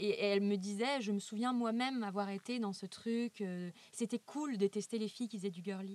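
In a dry, close sound with no echo, a woman with an ordinary speaking voice speaks with fairly even intonation. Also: medium pitch for a woman, moderate pace. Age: 30s. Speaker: illustrator. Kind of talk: interview.

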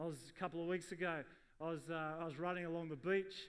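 An Australian accent with fairly even intonation. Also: man. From Sydney western suburbs, Australia. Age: middle-aged. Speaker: pastor. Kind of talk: sermon.

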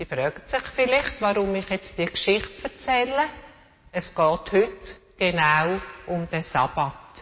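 A woman speaks very slowly, her pitch swinging very widely. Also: medium pitch for a woman. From Switzerland, city of Zürich. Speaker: storyteller in a family church service. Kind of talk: children's Bible storytelling.

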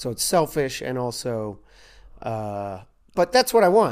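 A man with a Kentucky accent and lively intonation. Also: very clean recording, silent background. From Louisville, Kentucky. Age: 40s. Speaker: comedian. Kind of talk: casual chat.

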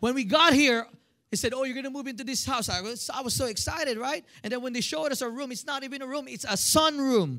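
In a Filipino accent, a man speaks at an extremely high pitch and a very fast pace in a raised, projected voice. His tone is bright, sharp and animated, with ordinary pitch variation. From Philippines. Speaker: pastor. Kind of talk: sermon. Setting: church with congregation.

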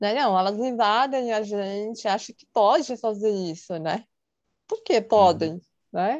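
Against a quiet background, a woman with a fairly high pitch talks at a very slow pace, her loudness swinging widely while her pitch varies in an ordinary way. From São Paulo, Brazil. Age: 30s. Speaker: psychologist. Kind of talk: casual interview.

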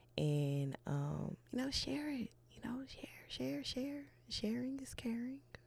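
Speaking at a very slow pace, the voice has a relaxed, calm tone. Noticeable background noise runs underneath. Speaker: podcast host. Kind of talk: casual monologue sign-off.

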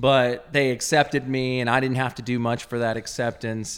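Someone speaks with a Texan accent at a moderate pace. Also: man. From Texas (Azle, near Dallas). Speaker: clothing company founder. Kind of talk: casual interview chat, personal testimony. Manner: halting, many fillers.

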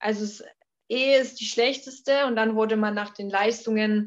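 A woman speaks at a fairly slow pace in a plain, everyday voice, her fairly high pitch held to fairly even intonation over a quiet background. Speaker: former exchange student. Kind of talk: interview.

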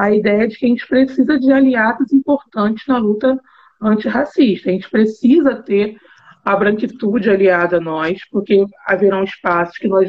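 A woman talks at a moderate pace in an ordinary speaking voice. Her pitch is fairly high, with ordinary variation. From Rio de Janeiro. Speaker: university professor. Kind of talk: casual chat.

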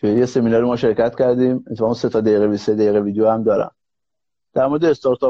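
Speaking very fast with a non-native accent, a man keeps a medium pitch and fairly even intonation while his loudness swings widely. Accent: foreign-sounding Persian. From Iran, Kurdish (Mahabad). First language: Kurdish (speaking Persian). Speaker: serial entrepreneur. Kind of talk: live stream interview. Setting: live stream call.

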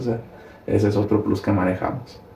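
Over noticeable background noise, a man speaks in a fairly low pitch. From Mexico, Sinaloa (Ahome). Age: 20s. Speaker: young politician and furniture business worker. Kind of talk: casual interview. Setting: video podcast.

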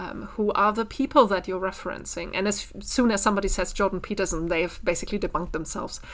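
Speaking at a very fast pace with hardly any pauses, a woman talks in a medium pitch over noticeable background noise. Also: ordinary pitch variation. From Germany, Bielefeld. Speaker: university lecturer. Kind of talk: casual interview conversation.

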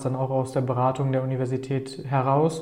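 Noticeable background noise sits behind a man's voice. He has fairly high pitch and a moderate pace. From Germany, Paderborn. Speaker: startup founder. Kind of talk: interview.

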